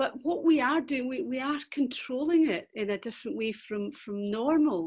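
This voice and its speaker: High pitch and lively intonation from a woman with a Scottish accent. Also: moderate pace. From Scotland. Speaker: webinar participant. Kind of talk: question in webinar. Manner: halting, hesitant.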